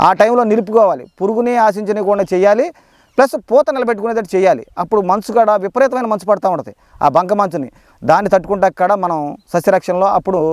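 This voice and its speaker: High-pitched with ordinary pitch variation, a man's voice comes through dry and close with no echo. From Krishna district, Andhra Pradesh. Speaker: farmer. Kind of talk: field demonstration. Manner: halting.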